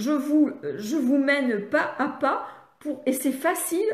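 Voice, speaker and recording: A woman's high-pitched voice with lively intonation, amid noticeable background noise and audible room echo. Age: 70s. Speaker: speech therapist and reading educator. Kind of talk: live online training session. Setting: live stream on social media. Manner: halting, many hesitations.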